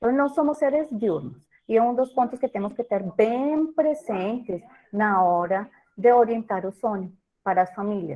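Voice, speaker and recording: In a Colombian accent, a woman speaks at a fairly high pitch with lively intonation. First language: Spanish (speaking Portuguese). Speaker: professor and breastfeeding consultant. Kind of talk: lecture.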